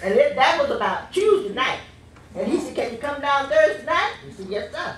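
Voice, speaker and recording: Against noticeable background noise, a woman with a high pitch speaks at a moderate pace, her pitch swinging very widely. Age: 80s+. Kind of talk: church speech introducing a preacher.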